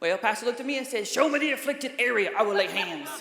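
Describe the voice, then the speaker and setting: Amid noticeable background noise and audible room echo, a woman with a Southern accent speaks at a high pitch. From US South, small-town North Carolina. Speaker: comedian. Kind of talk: stand-up. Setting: stage with audience.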